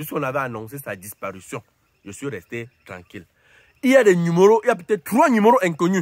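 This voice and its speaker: His pitch swings very widely at a fairly quick pace. The man's voice sounds dry, with no echo. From Cameroon. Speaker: YouTuber commentator; entertainment vlogger. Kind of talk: casual monologue to camera. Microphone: phone near.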